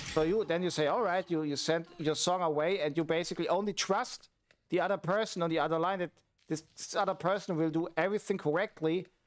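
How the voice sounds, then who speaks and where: Speaking with a German accent, a man has a high pitch and fairly even intonation at a fairly quick pace. The recording is very clean with a silent background. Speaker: streamer and music producer. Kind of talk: casual livestream chat. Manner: halting, with fillers.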